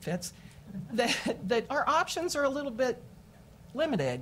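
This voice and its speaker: In an American accent, a woman speaks at a moderate pace with a somewhat breathy sound and very wide pitch swings. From Kansas City, Missouri. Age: 60s. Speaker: mental health therapist. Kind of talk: public hearing testimony.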